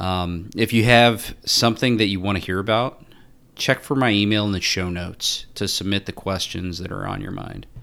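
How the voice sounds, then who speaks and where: This man has an unremarkable speaking voice, fairly low in pitch, moving at a moderate pace with ordinary pitch variation. The background is silent and the recording very clean. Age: 30s. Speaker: financial planner and podcast host. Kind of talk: podcast trailer monologue.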